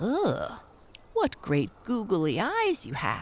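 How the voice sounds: A put-on character voice, pitched fairly high, moves at a very slow pace.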